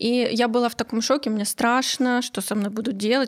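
A woman talks at a moderate pace with fairly high pitch and fairly even intonation. It is a plain, everyday voice. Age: 30s. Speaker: podcast host, guest. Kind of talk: casual chat. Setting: studio.

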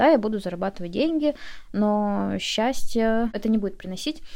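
Her pace is fairly quick and her pitch medium. This woman has a plain, everyday voice with ordinary pitch variation. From Russian Far East, Komsomolsk-on-Amur. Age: 20s. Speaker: beauty specialist and business owner. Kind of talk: interview.

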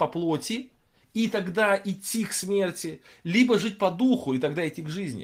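A man speaks in a high voice with lively intonation. The recording is very clean, with a silent background. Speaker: Bible teacher. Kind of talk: lecture. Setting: livestream. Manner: halting.

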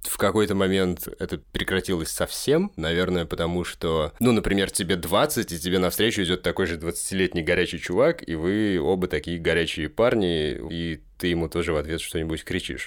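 With hardly any pauses, a man talks at a moderate pace in a very deep, low pitch with ordinary pitch variation, on a very clean recording with a silent background. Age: 30s. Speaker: musician. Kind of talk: casual chat.

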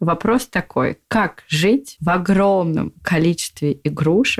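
Speaking very slowly with vocal fry, a woman uses a fairly low pitch with ordinary pitch variation in a dry, close sound with no echo. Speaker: podcast co-host. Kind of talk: casual chat.

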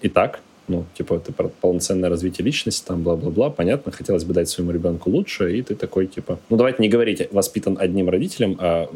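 Pitch shifts a normal amount. The words come out very fast. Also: man. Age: 20s. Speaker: ed-tech operations director and tutor. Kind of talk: casual chat.

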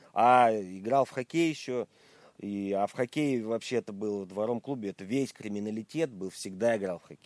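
A man with an ordinary speaking voice and fairly low pitch talks at a moderate pace, his loudness swinging widely, in a dry, close recording with no echo that is very clean over a silent background. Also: ordinary pitch variation. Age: 40s. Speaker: musician. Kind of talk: casual interview.

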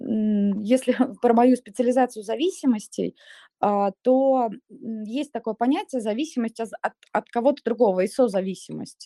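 A woman with a fairly high pitch and a dark, mellow tone, at a fairly slow pace with ordinary pitch variation, in a dry, close sound with no echo. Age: 30s. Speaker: psychotherapist. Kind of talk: expert Q&A in live audio chat.

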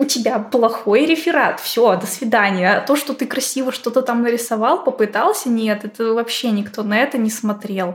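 A woman with an ordinary speaking voice talks at a moderate pace and fairly high pitch, with ordinary pitch variation and hardly any pauses. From Russia, Izhevsk. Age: 20s. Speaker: 2D artist. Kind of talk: casual chat.

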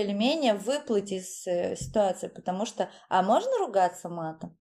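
A woman at a moderate pace over noticeable background noise. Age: 30s. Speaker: beautician and dance teacher, course founder. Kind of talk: casual interview.

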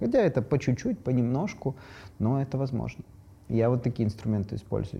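Fairly quick speech from a man at medium pitch, somewhat breathy and dark, mellow in tone, over a quiet background. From Ukraine. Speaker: decolonization activist. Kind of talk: casual panel discussion.

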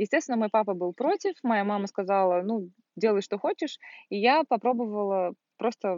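A woman speaks at a moderate pace in a normal speaking voice, her pitch medium for a woman. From Russia, Volgograd. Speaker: service manager, former flight attendant. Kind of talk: casual chat. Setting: at a country house outdoors in summer.

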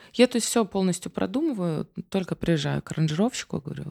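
Dark, mellow female voice with vocal fry, on a very clean recording with a silent background and a dry, close sound with no echo. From Ukraine. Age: 30s. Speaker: singer. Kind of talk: casual chat. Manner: animated.

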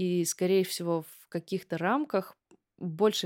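A woman speaks in an unremarkable speaking voice at a moderate pace, fairly low in pitch with ordinary pitch variation. The recording is very clean with a silent background and a dry, close sound with no echo. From Russia, Kogalym (Western Siberia). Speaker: singer-songwriter. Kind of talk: interview. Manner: casual.

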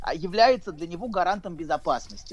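A man's high-pitched voice moves along at a fairly quick clip. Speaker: psychologist. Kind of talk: expert commentary on radio. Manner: halting.

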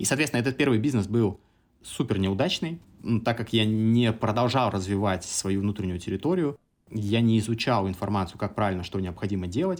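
The man has an unremarkable speaking voice with a fairly low pitch and ordinary pitch variation. He talks at a fairly quick pace on a very clean recording with a silent background. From Samara region, Russia. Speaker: entrepreneur. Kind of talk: casual interview.

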